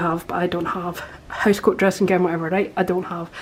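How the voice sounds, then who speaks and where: The speaker is a woman with a Scottish accent. Her pitch is medium. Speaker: hotel review vlogger. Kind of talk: casual vlog walkthrough. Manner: fast; animated.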